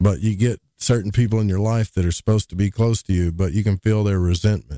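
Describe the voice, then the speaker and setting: The tone is dark and mellow, with fairly even intonation and an Arkansas accent. The sound is dry and close, with no echo. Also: man, fairly low pitch for a man. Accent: Arkansas Southern drawl. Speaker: podcast host. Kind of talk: casual chat. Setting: livestream with chat.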